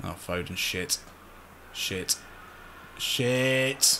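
A man speaks with music in the background. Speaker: game streamer. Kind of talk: gaming commentary. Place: home room.

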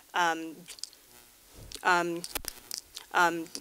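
Over music in the background, a woman speaks with a fairly low pitch. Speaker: conference speaker. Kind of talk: conference talk.

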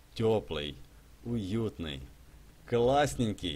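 Vocal fry runs through a man's fairly low voice as he speaks at a very slow pace. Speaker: gaming streamer. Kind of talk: live stream gameplay commentary. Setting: live stream with chat and donations. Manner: animated, chatty.

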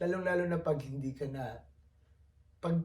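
With ordinary pitch variation, a man talks in a somewhat breathy voice of dark, mellow tone. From Philippines. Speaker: vlogger, overseas Filipino worker. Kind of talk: casual vlog monologue.

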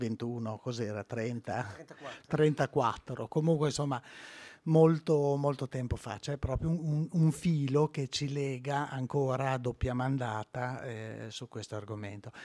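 Against a quiet background, a man with a dark, mellow tone talks at a very slow pace, with ordinary pitch variation and big swings in loudness. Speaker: museum director. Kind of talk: speech. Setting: stage with audience. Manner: halting. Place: hall. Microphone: podium.

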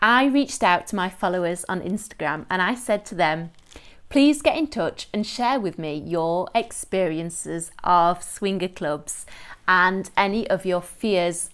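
A woman speaks slowly, at a fairly slow pace. Her intonation is lively against a quiet background. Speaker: lifestyle coach. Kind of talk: casual vlog chat. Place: home room. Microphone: phone near.

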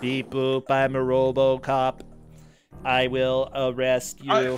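In a put-on robotic character voice, the speaker goes at a very slow pace with monotone, flat intonation and low-to-middle pitch while faint music plays in the background.

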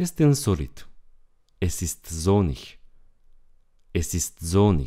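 A man talks at a very slow pace in a very deep, low pitch and a dark, mellow tone, with very wide pitch swings. Long, frequent pauses break his speech in a very clean recording with a silent background. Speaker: German language teacher. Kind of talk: language lesson tutorial. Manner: slow, repetitive for learners.

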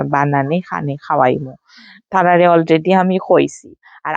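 A woman speaks with a Sylheti accent. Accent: Sylheti-accented Bengali. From Sylhet, Bangladesh. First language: Sylheti (speaking Bengali). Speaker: vlogger. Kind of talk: casual vlog narration. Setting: at home with friends and children.

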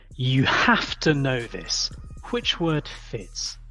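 A woman speaks at a very slow pace with music playing in the background. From London, England. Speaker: English pronunciation teacher. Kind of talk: pronunciation drill. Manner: clear, deliberate.

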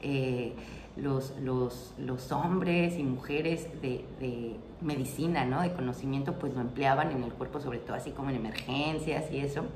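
A woman's very deep, low voice at a fairly slow pace with fairly even intonation, over noticeable background noise. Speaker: herbal remedies channel host. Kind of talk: casual explanatory vlog talk. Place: home room.

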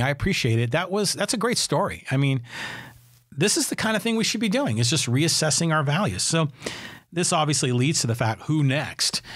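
Speaking at a moderate pace, a man with an American accent has a fairly high, somewhat breathy voice. His pitch swings very widely. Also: quiet background. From San Francisco Bay Area, California; California. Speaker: podcast host. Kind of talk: solo commentary podcast; podcast commentary. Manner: conversational, with fillers. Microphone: studio mic.

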